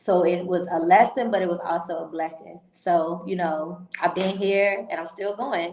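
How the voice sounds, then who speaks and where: Talking at a moderate pace with hardly any pauses, a woman uses a fairly low pitch and fairly even intonation over noticeable background noise. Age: 20s. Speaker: entrepreneur. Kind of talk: interview.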